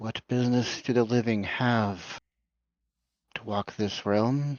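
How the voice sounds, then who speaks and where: A man uses a put-on character voice at a medium pitch. His pace is fairly slow. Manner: loud, commanding.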